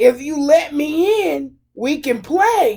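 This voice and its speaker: A loud, shrill, put-on character voice at a very slow pace. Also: woman. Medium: read story. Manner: rude, snappish.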